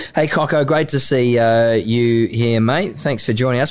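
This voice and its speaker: Speaking in an Australian accent, a man keeps to a medium pitch and shows ordinary pitch variation. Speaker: sports podcast host. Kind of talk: casual interview chat.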